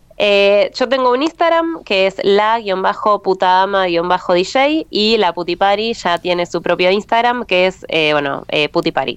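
At a fairly slow pace, a woman speaks at a medium pitch with very wide pitch swings and very even loudness. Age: 30s. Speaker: DJ. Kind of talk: interview.

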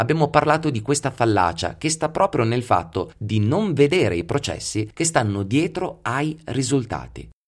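There is vocal fry as a man speaks fairly slowly. The pitch of his voice moves through very wide swings. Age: 40s. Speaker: psychology podcast host. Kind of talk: solo podcast monologue.

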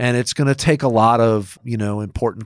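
Here is a man with a plain, everyday voice and an American accent. He talks at a moderate pace with ordinary pitch variation. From Rochester, New York. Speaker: podcast co-host, housing finance executive. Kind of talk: casual chat.

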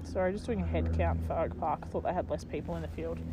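A woman speaks at a fairly quick pace with an Australian accent. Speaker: cricket commentator podcast host. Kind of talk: sports commentary, relaxed and informative. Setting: outdoors at a cricket ground. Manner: upbeat, knowledgeable, jokey.

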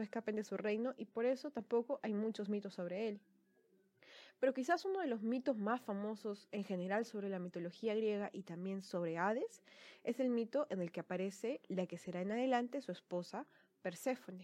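Fairly quick and dark, mellow in tone, a woman's voice moves with ordinary pitch variation. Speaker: podcast host on mythology. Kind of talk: solo storytelling podcast. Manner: casual, with fillers and repetitions.

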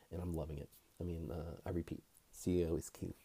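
Somewhat breathy, a man with a very deep, low pitch and a dark, mellow tone talks at a fairly quick pace. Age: young. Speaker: personal finance youtuber, healthcare professional. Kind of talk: casual vlog commentary.

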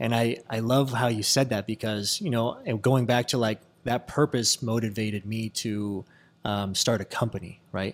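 Medium-pitched male speech at a moderate pace, in a very clean recording with a silent background. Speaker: podcast host and real estate agent. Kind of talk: casual chat. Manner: animated.

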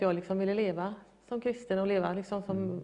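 With monotone, flat intonation, a woman talks at moderate speed and medium pitch. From Gothenburg, Sweden. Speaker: guest telling faith story. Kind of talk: interview testimony.

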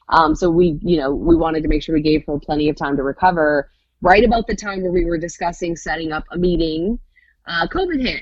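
A woman with an unremarkable speaking voice, a fairly low pitch and a fairly quick pace. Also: ordinary pitch variation. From Michigan, Hudsonville. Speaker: radio morning show co-host. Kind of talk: casual interview.

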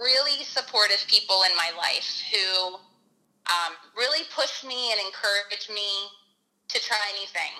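A woman speaks loudly at a fairly slow pace. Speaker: elementary school teacher. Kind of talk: casual chat. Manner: animated.

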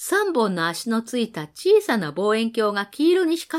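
Natural-voiced reading aloud

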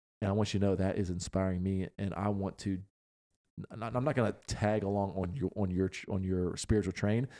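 With an ordinary speaking voice, a man talks at a fairly quick pace in a fairly low pitch with fairly even intonation, on a very clean recording with a silent background. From Pennsylvania. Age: 30s. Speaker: podcast host. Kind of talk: casual chat.

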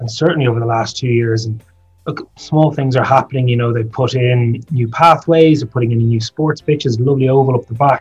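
Speaking with a South Dublin accent, a man keeps a fairly quick pace. His intonation is fairly even. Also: medium pitch for a man. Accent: south Dublin Irish. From Ireland, south Dublin. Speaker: politician. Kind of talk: interview.

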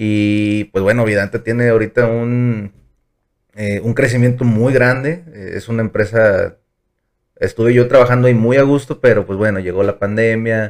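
Using a normal speaking voice, a man talks at medium pitch and a moderate pace with fairly even intonation. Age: 20s. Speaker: business management engineer. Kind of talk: casual chat.

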